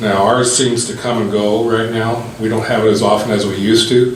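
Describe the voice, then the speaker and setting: With noticeable background noise and audible room echo, a man speaks at a moderate pace in a flat monotone at medium pitch. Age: 60s. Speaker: resident speaking at council Q&A. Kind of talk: public comment at meeting.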